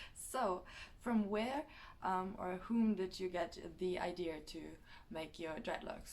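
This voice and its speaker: Speaking at a fairly slow pace, a woman with a German accent uses a medium pitch. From Germany. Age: 20s. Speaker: vlogger. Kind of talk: casual vlog. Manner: hesitant, many fillers.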